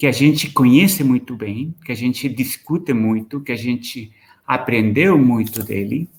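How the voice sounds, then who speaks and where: A man's voice with ordinary pitch variation. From Chile. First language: Spanish (speaking Portuguese). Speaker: professor. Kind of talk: lecture. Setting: video call. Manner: halting, frequent repetitions and fillers.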